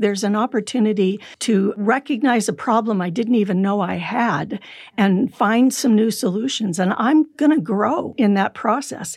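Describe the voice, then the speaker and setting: A woman with a normal speaking voice and an American accent, pitched fairly high. Her pitch varies in an ordinary way, and she talks at a moderate pace. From California. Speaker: psychologist. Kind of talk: interview.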